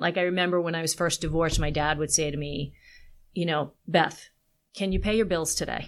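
In a very clean recording with a silent background, a woman with an American accent uses an ordinary speaking voice at a fairly low pitch and a moderate pace. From Long Island, New York. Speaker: copywriter. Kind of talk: casual interview.

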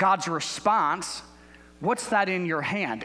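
A man speaks in a raised, projected voice at a fairly slow pace. Noticeable background noise runs behind him. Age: 40s. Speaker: guest pastor. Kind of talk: sermon. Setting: church.

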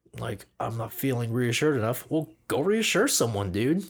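A man's playful tone, somewhat breathy, at a moderate pace, in a very clean recording with a silent background. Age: 20s. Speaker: podcast host, camera assistant. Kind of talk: casual chat. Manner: joking, playful.

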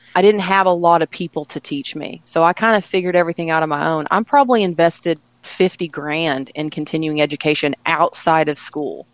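A normal speaking voice from a woman, fairly low in pitch, fairly quick with hardly any pauses, ordinary pitch variation, and a dry, close sound with no echo. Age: 30s. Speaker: spa owner and permanent makeup artist. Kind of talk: interview conversation.

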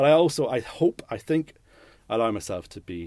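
A man with a Northern Irish accent, a dark, mellow tone and lively intonation, on a very clean recording with a silent background. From Northern Ireland, Newry. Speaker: lighting and set designer. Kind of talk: interview. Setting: studio. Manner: halting.

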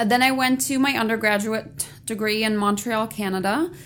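In an ordinary speaking voice, a woman with an American accent talks at a moderate pace and fairly high pitch with ordinary pitch variation. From Germany (Halle, former East), also US childhood. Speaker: veterinarian. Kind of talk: interview.

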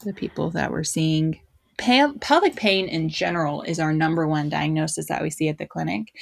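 Speaking at a moderate pace in an animated tone, a woman is heard on a very clean recording with a silent background. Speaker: pelvic rehab physical therapist. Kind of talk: casual interview chat. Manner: animated, laughs often.

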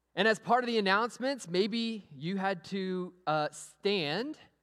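A man with a Texan accent speaks in a high voice. His tone is animated. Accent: Texan American. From US, Amarillo, Texas. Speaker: pastor. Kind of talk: sermon. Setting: church.

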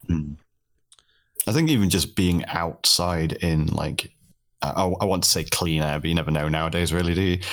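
A man's very deep, low voice with a British accent, monotone and flat, at a moderate pace with very even loudness and long, frequent pauses. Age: 30s. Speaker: streamer. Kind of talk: casual chat.

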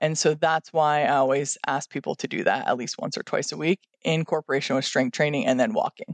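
A woman with an American accent speaks at a very deep, low pitch and a fairly quick pace, with hardly any pauses. Her pitch variation is ordinary, and the sound is dry and close with no echo. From upstate New York. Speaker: gym owner and fitness trainer. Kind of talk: casual interview chat.

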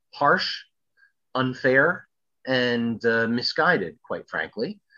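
In a New York accent, a man speaks at a fairly slow pace with a bright, sharp tone. The background is quiet. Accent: New York American. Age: 50s. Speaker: sports historian. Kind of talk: casual interview.

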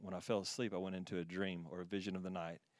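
With an American accent, a man talks very fast in a very deep, low, monotone voice. The recording is very clean, with a silent background. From Texas. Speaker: ministry team member, former chiropractor. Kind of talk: prophetic words and testimony. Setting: church stage with audience.

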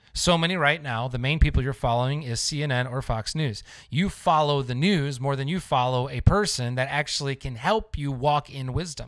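This man talks at a moderate pace in a fairly high pitch. His pitch variation is ordinary. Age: 40s. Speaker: pastor and podcast host. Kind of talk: livestream sermon-style talk. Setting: live online video stream. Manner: animated.

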